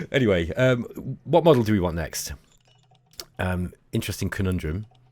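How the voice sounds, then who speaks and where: A man's very deep, low voice with lively intonation at a fairly quick pace. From England, Derby. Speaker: gaming YouTuber. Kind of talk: gameplay commentary. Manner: casual, hesitant with many fillers.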